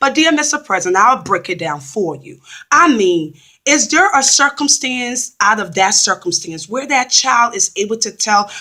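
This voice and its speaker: At a moderate pace, a woman with a fairly high pitch and a bright, sharp tone swings her pitch very widely. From Liberia, West Africa. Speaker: vlogger. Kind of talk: spoken open letter to the president.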